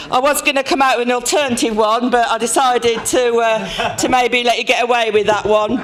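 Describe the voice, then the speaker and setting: The speech moves at a moderate pace with noticeable background noise. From Birmingham, England. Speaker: trade union event host. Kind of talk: public address.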